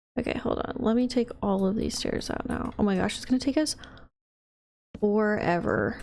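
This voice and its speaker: Quiet and at a moderate pace, a woman speaks in a fairly high pitch with ordinary pitch variation on a very clean recording with a silent background. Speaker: gaming youtuber. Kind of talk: casual gameplay commentary. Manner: quiet, focused; animated.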